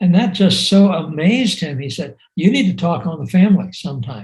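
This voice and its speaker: A high-pitched man with a dark, mellow tone and lively intonation. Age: 70s. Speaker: missionary. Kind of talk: video call interview. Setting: video call. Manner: halting.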